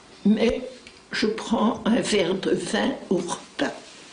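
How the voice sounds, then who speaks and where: Very slowly, a woman speaks at a medium pitch with ordinary pitch variation, with audible room echo and noticeable background noise. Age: 80s+. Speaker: interviewee, retired gym teacher. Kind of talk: interview.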